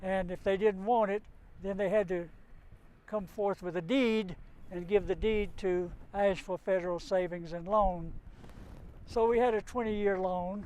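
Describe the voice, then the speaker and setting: A man in a Southern Appalachian accent, high-pitched and fairly even in intonation, at a moderate pace broken by long, frequent pauses. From western North Carolina, Cherokee area. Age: 80s+. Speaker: business owner. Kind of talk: interview.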